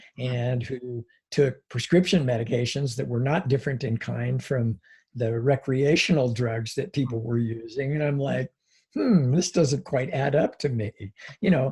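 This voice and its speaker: A man with an American accent sounds somewhat breathy and dark, mellow in tone on a very clean recording with a silent background. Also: medium pitch for a man, ordinary pitch variation, moderate pace. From US Northwest (Washington State). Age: 60s. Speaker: psychology professor. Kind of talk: interview conversation. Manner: hesitant, many fillers.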